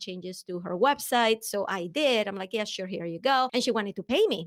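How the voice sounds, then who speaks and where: With a Venezuelan accent, a woman talks using lively intonation. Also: very clean recording, silent background. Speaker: business coach. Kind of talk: interview. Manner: animated.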